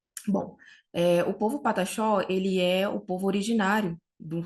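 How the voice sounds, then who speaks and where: Against a quiet background, a woman speaks with a Brazilian accent. Her voice is somewhat breathy and her intonation fairly even. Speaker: researcher. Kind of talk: academic conference talk. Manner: slow; halting.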